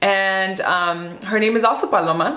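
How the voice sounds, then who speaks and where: With an American accent, a woman speaks over noticeable background noise and audible room echo. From Southern California (Whittier, east of LA). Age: 20s. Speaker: lifestyle influencer and small business owner. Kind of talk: casual Q&A vlog. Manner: relaxed, conversational.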